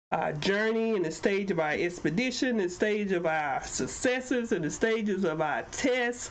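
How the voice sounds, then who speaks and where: The speech moves at a moderate pace with hardly any pauses and lively intonation. Room echo is audible. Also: woman, medium pitch for a woman. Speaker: talk show host and life coach. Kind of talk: motivational podcast talk. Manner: animated.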